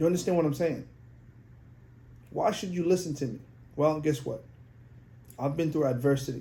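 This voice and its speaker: Somewhat breathy and dark, mellow in tone, a man's fairly high voice moves at a fairly quick pace broken by long, frequent pauses. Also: ordinary pitch variation. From outside the US, came at sixteen. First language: not English. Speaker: podcast host, life coach for men. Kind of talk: motivational monologue. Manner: animated.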